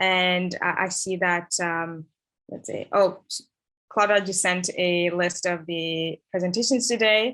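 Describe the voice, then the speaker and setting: At a very slow pace, a woman speaks at a medium pitch with a bright, sharp tone and fairly even intonation. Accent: East African. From East Africa, Tanzania. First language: Swahili. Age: 20s. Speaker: conference host. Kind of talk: event hosting. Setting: video call. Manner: halting, many fillers.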